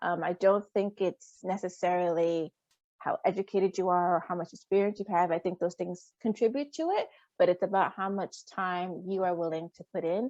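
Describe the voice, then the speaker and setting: A woman with an American accent speaks at a medium pitch and moderate pace with fairly even intonation, in a dry, close sound with no echo against a quiet background. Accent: American with Liberian accent slipping in. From Rhode Island, US, Liberian community. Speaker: teacher. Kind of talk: interview. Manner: hesitant fillers.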